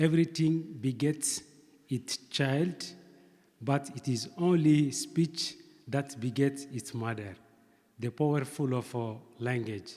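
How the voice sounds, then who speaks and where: Speaking with a non-native accent, a man with a fairly high pitch goes at a very slow pace with long, frequent pauses. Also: ordinary pitch variation. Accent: non-native, pronunciation difficulties. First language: not English. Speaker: seminar speaker. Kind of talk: academic presentation. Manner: hesitant, many fillers.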